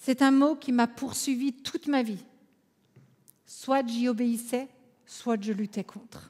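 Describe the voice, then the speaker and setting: In an Alsatian accent, a woman with a high pitch and fairly even intonation speaks very slowly, with long, frequent pauses. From France, Alsace. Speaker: conference speaker, coach. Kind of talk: conference talk.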